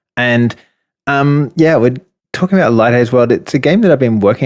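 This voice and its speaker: Here a man speaks with an Australian accent. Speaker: indie game developer. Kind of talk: interview.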